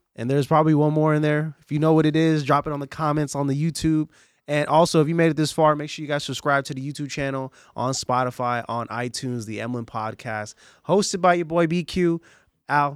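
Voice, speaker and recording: With an American accent, a man uses an ordinary speaking voice, fairly high in pitch and fairly even in intonation, at a fairly quick pace in a very clean recording with a silent background. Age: 20s. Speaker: podcast host. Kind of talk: casual interview chat.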